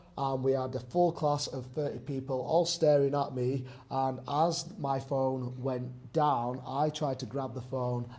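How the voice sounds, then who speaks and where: Somewhat breathy and dark, mellow in tone, a man speaks at a fairly slow pace with fairly even intonation. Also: medium pitch for a man, hardly any pauses. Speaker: personal trainer. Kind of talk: casual talk to camera.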